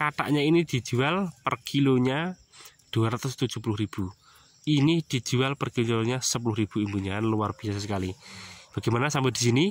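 A man speaks with ordinary pitch variation in a dry sound with no echo, over light background noise. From Central Java, Indonesia (Wonogiri); Central Java, Indonesia. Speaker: farming YouTuber. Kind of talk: tutorial. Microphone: phone near.

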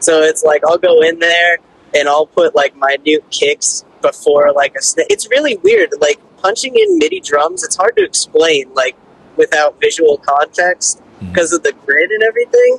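With an American accent, a man talks at a moderate pace and very even loudness, the sound dry with no echo over light background noise. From Pennsylvania. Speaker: guitarist; podcast host. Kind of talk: casual chat. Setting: phone call. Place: studio. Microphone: studio mic.

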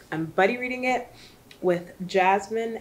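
At a moderate pace, this woman talks over light background noise. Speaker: book vlogger. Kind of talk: casual vlog chat. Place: home room.

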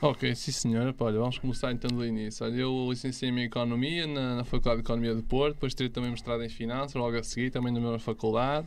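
A man's monotone, flat delivery with hardly any pauses. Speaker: investment youtuber. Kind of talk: casual interview chat. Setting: studio. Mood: calm, explanatory. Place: studio. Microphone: studio mic.

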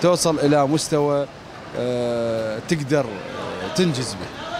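Noticeable background noise sits behind a man with a Baghdadi accent, and the sound is dry with no echo. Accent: Iraqi Arabic (Baghdadi). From Iraq, Baghdad. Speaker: TV street-program presenter. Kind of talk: on-location field reporting and street chat. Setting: outdoors at a street market. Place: market. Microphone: handheld.

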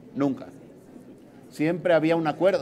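A man is talking. Light background noise can be heard. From Mexico, Veracruz. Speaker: senator, opposition party leader; senator. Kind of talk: press conference statement. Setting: press conference. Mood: critical, emphatic. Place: hall. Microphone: podium.

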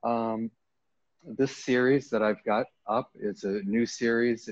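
In an American accent, a man speaks at a very slow pace. The sound is dry with no echo over a quiet background. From US Northeast, Maine. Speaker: painter. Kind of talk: artist talk. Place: hall.

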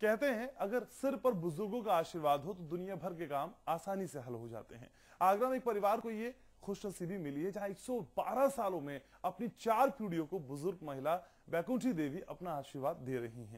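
A high-pitched man talks at a moderate pace against a quiet background. His pitch swings very widely and his loudness swings a lot. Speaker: news anchor. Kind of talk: TV news intro. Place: studio.

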